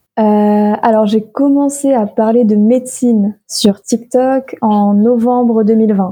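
A woman speaks very slowly at a fairly high pitch, her tone dark and mellow. Her voice is somewhat breathy, with very even loudness. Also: hardly any pauses. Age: 20s. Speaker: medical student and content creator. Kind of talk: casual chat.

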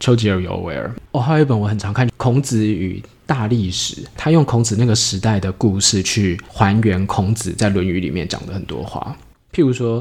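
A man with an ordinary speaking voice talks at a moderate pace, his pitch fairly low and its variation ordinary. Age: 40s. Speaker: startup founder. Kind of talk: interview. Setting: drink shop.

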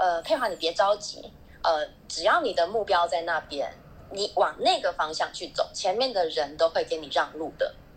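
With ordinary pitch variation and a moderate pace, it is an unremarkable speaking voice. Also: woman, medium pitch for a woman. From Taiwan. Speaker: smartphone marketing manager. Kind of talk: casual panel chat.

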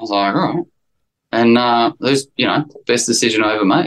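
A medium-pitched male voice in an Australian accent. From Sydney, Australia. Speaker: actor. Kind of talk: casual interview chat.

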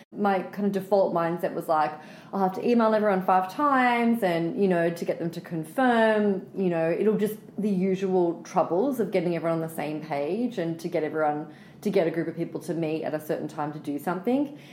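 With an Australian accent, a woman speaks at a fairly quick pace with ordinary pitch variation. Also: medium pitch for a woman. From Australia, Sydney. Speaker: writer and storyteller. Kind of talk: interview.

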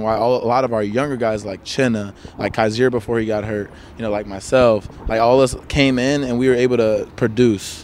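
A man speaks in a normal speaking voice at a medium pitch, with an American accent. His intonation is fairly even and his pace fairly quick. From Chicago area, US. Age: 20s. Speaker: American football player. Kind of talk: casual interview chat.

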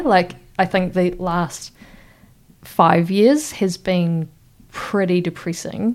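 A woman's very slow voice in a New Zealand accent, medium-pitched, with ordinary pitch variation. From New Zealand, Wellington. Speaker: regional councillor and freshwater ecologist. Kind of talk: casual interview.

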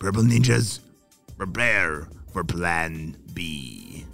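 A man's very deep, low voice with lively intonation at a very slow pace, with faint music in the background. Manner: scheming, bossy.

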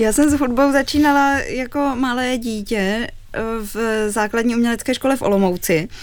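Here a woman talks with a normal speaking voice at a fairly high pitch. Her pace is moderate and her intonation fairly even. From Czech Republic, Olomouc. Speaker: cellist in a string quartet. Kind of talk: radio interview.

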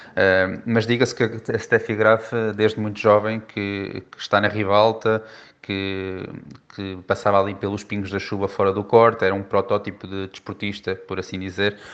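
At a moderate pace, a man with a fairly low pitch talks in a flat monotone, his loudness swinging widely. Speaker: tennis commentator. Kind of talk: interview. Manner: halting.

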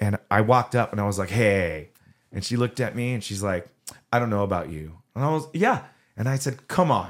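The speaker has a Southern Californian accent. The intonation is lively and the pace fairly quick. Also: man, fairly low pitch for a man. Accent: Southern California American. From Southern California (Orange County). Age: 40s. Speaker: punk singer. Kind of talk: casual chat.

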